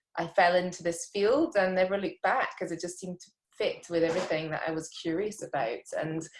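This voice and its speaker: A woman with a Scottish accent speaks at a medium pitch, somewhat breathy, with ordinary pitch variation and big swings in loudness. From rural Scotland. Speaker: immunologist. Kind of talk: interview.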